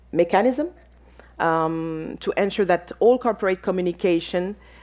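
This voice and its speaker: This woman has a medium pitch and a dark, mellow tone. Her intonation is lively. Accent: French. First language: French. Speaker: panelist on business and democracy. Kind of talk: conference panel talk. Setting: auditorium with audience and online viewers. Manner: halting, many fillers.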